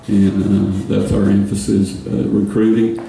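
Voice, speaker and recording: A man's voice is heard with noticeable background noise behind it. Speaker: women's basketball head coach, radio guest. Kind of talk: radio interview answer.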